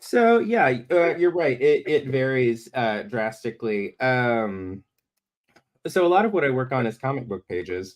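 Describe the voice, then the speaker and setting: Speaking at a fairly slow pace with a slight Southern US accent, a man with a medium-pitched voice swings very widely in pitch. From US South, Alabama (Birmingham). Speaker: comic illustrator. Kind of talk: live-stream drawing demo. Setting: live stream. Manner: halting, many fillers.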